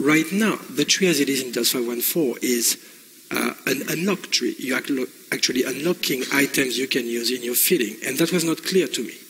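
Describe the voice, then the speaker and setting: A man speaks with a French accent at a moderate pace, his pitch fairly high with ordinary variation. Noticeable background noise runs underneath. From France. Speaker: game industry executive. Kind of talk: conference presentation. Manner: halting, many fillers.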